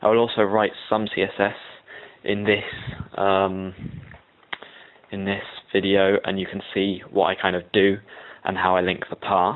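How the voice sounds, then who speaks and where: A man with a fairly low pitch speaks at a moderate pace in a flat, monotone way, leaving long and frequent pauses over noticeable background noise. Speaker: web design tutor. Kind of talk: tutorial. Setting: at home, recording downstairs. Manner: hesitant, many ums.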